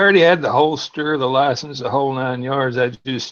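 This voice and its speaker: A man at a fairly quick pace, fairly high in pitch, with music in the background. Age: 60s. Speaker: call-in participant on a livestream. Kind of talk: casual chat, personal story. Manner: relaxed, with hesitations.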